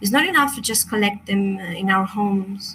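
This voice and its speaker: A woman with a Chilean Spanish accent. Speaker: crystal meditation teacher. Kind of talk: online workshop presentation. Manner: halting.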